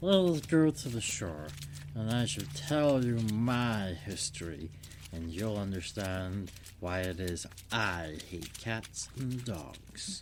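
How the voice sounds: Over clear background noise, a man puts on a shaky character voice, fairly low in pitch and very slow in pace.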